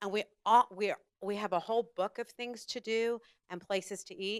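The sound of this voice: A woman speaks at a moderate pace and medium pitch, with ordinary pitch variation. Her tone is clear and smooth, and the sound is dry and close with no echo.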